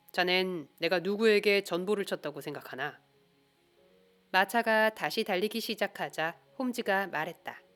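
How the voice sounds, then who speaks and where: A woman speaks in a calm, soothing tone at a medium pitch and a fairly slow pace. Music plays in the background. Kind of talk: audiobook reading of a detective novel.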